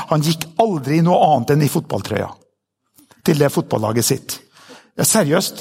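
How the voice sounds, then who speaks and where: This man has an ordinary speaking voice with ordinary pitch variation. He talks at a fairly quick pace. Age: 50s. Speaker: pastor. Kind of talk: sermon.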